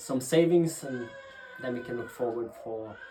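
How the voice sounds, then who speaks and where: With a Norwegian accent, a man talks at a fairly slow pace and with fairly even intonation, amid noticeable background noise and audible room echo. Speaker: pastor. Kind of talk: interview talk about ministry. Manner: halting, many fillers and restarts.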